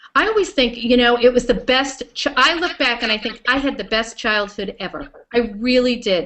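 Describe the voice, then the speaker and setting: A woman with a New York accent and a high pitch talks with hardly any pauses. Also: ordinary pitch variation, moderate pace. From Long Island, New York. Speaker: web show host. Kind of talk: interview chat.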